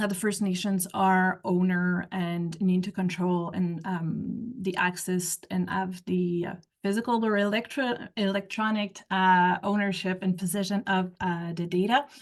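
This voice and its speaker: A woman with a French Canadian accent and medium pitch talks at a fairly slow pace with hardly any pauses and fairly even intonation, against a quiet background. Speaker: researcher. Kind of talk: panel discussion. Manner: halting.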